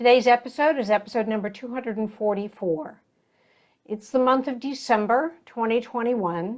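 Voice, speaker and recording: At a moderate pace, a woman speaks with an unremarkable speaking voice and a fairly high pitch that moves with ordinary variation. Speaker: podcast host. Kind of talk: podcast intro.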